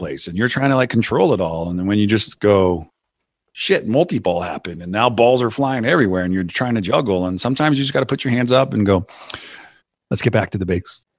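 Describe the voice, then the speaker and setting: Against a quiet background, a man with an American accent talks at a fairly quick pace in a plain, everyday voice with lively intonation. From US West Coast. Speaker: CEO and podcast host. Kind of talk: casual interview chat. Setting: remote recording call.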